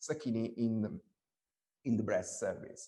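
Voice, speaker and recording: The speaker is a man. He has an Italian accent. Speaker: breast surgeon. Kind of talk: webinar presentation. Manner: halting, many fillers and repetitions.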